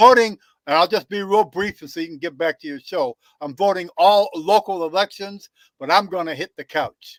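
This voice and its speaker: A man speaks with a high voice and loudness that rises and falls sharply. The sound is dry and close, with no echo. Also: ordinary pitch variation, moderate pace. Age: 70s. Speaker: caller. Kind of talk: call-in conversation.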